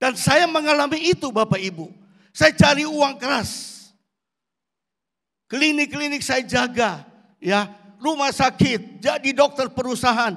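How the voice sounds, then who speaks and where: Long, frequent pauses, a fairly slow pace, lively intonation and a bright, sharp tone. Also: man, extremely high pitch for a man. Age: 60s. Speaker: pastor. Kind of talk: sermon.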